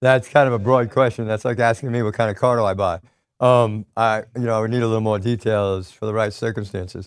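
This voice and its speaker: A man's medium-pitched voice with an American accent and fairly even intonation, at a very fast pace, on a very clean recording with a silent background. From US Northeast. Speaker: real estate investor and coach. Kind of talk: motivational talk.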